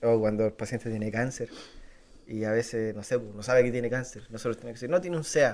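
A man with a Chilean accent and medium pitch talks at a fairly quick pace, his loudness swinging widely between long, frequent pauses. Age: 20s. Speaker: emergency health worker. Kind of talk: casual chat.

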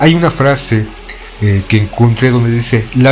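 A man talks in a Mexican accent at a medium pitch. His intonation is fairly even against noticeable background noise. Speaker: radio host. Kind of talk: casual monologue.

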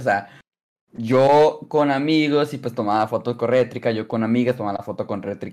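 A man with a Mexican accent speaks at a fairly slow pace. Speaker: podcast co-host. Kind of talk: casual chat.

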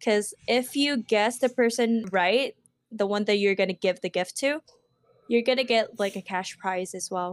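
A Filipino accent with ordinary pitch variation on a very clean recording with a silent background. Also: woman, fairly high pitch for a woman, moderate pace. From Philippines. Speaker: podcast co-host. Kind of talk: casual chat.

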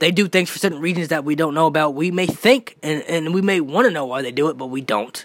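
An animated tone carries ordinary pitch variation. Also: man. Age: 20s. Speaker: wrestling podcast host. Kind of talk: solo podcast commentary.

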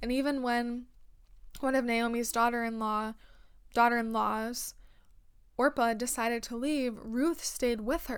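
A woman's high-pitched, monotone, flat delivery at a very slow pace. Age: 20s. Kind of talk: devotional talk. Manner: earnest.

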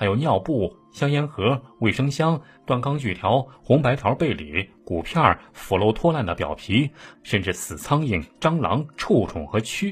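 A man speaks at a fairly slow pace in a medium pitch, with vocal fry and very wide swings in pitch. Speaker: true-crime storyteller. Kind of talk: true-crime narration. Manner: animated storyteller, voicing quoted characters with urgency and alarm.

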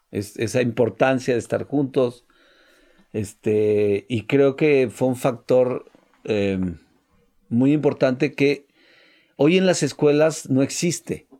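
A man with a Mexican accent, very slow pace and long, frequent pauses, medium pitch, a dark, mellow tone and ordinary pitch variation. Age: 60s. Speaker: entrepreneur. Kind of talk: casual chat.

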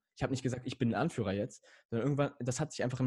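A man's somewhat breathy voice shows ordinary pitch variation, recorded dry and close with no echo against a quiet background. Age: young. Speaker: emotional coaching guest, podcaster. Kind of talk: casual interview chat.

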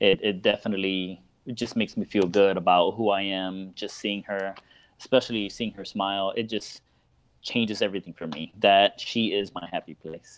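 Here is a man with an unremarkable speaking voice and an American accent. His pitch is fairly low and his pace moderate. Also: fairly even intonation, big swings in loudness. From Miami, Florida. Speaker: parenting blogger and speaker. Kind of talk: casual interview. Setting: live video call.

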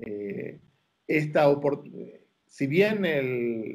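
A man's voice, fairly high in pitch. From Argentina, Buenos Aires. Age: 50s. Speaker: rabbi. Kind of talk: interview.

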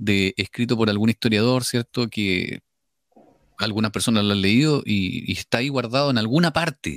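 A plain, everyday voice with lively intonation at a moderate pace, recorded dry and close with no echo on a very clean track with a silent background. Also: man. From Chile, Biobío region. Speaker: radio host. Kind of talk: radio interview. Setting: virtual radio studio.

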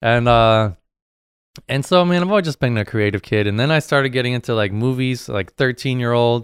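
In a very clean recording with a silent background, a man with an ordinary speaking voice talks at a fairly quick pace and medium pitch with ordinary pitch variation. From New Hampshire, US. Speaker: muralist. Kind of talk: casual chat.

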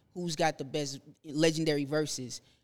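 A man speaks at a fairly slow pace. His is an unremarkable speaking voice. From Nashville, Tennessee, US South (born in Zimbabwe, moved at ten). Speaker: barber. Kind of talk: casual chat.

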